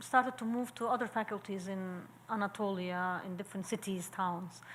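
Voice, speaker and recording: A woman with a Turkish accent talks at a moderate pace. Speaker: sociologist and architecture professor. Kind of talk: Q&A after a talk. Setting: public seminar. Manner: halting.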